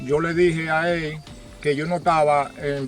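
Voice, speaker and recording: Noticeable background noise accompanies a man whose intonation is monotone and flat. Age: 60s. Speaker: farmer. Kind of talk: testimony.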